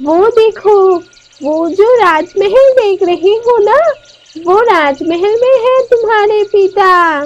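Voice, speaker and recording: A woman speaks fairly slowly in a cartoonish character voice with an extremely high pitch. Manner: calm, knowing.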